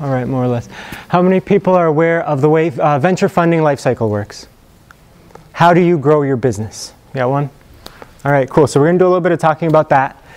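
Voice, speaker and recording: Noticeable background noise sits behind a man with a fairly high pitch and ordinary pitch variation. He talks at a very fast pace but leaves long, frequent pauses. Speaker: engineering executive giving guest lecture. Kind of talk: lecture. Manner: not loud, voice fades; casual, hesitant fillers.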